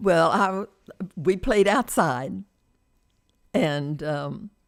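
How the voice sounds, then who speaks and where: This woman speaks very slowly with an American accent and audible vocal fry. Her voice is fairly low in pitch, yet her intonation stays lively. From Louisiana, US South. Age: 80s+. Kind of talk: interview answer.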